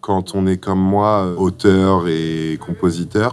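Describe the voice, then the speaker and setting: Amid noticeable background noise, a man speaks in a very deep, low pitch with monotone, flat intonation. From Egypt, then Caen in France from age 13. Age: 20s. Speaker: singer-songwriter. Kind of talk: interview portrait, personal account. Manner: hesitant, frequent fillers.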